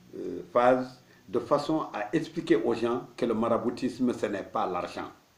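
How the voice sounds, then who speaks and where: A man talks in an ordinary speaking voice at a medium pitch. His pace is fairly slow, with ordinary pitch variation. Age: 60s. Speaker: marabout, Islamic spiritual teacher. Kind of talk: religious teaching talk.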